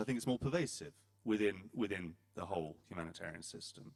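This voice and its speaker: In a British accent, a man talks fairly quickly. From Britain. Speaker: panel moderator. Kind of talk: panel discussion moderation. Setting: conference hall with audience. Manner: hesitant, many fillers.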